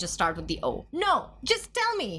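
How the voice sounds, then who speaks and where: A woman with an Indian accent, an animated tone and noticeable background noise. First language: Hindi. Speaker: podcast co-host. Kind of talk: casual chat.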